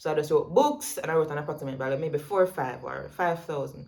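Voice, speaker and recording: In a Jamaican accent, a woman talks at a fairly quick pace. Her pitch is very deep and low. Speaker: vlogger. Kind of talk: tutorial. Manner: fast; casual.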